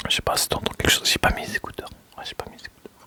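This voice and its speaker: Someone whispers at a very fast pace. Background noise is noticeable. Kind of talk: casual talk to camera. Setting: studio, microphone close. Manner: relaxed, chatty.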